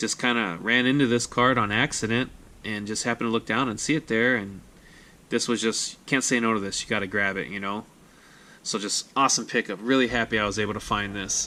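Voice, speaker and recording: A man speaks fairly quickly in a medium pitch, his tone bright and sharp. His intonation stays fairly even on a very clean recording with a silent background. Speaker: sports card collector YouTuber. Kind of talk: casual vlog recap. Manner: fast.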